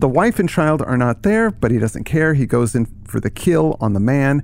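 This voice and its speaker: Noticeable background noise sits beneath this recording. The man's pitch rises and falls across a very wide range. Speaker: podcast co-host. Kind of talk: casual literary discussion.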